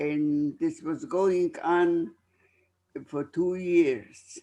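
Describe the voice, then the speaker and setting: Against a quiet background, a man with a high pitch talks at a very slow pace with ordinary pitch variation. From Poland. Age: 90s. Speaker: Holocaust survivor. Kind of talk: testimony.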